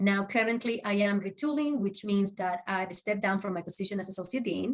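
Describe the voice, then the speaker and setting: With a Spanish accent, a woman at a medium pitch speaks at a fairly quick pace with ordinary pitch variation. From Uruguay. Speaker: social work professor. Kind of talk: interview.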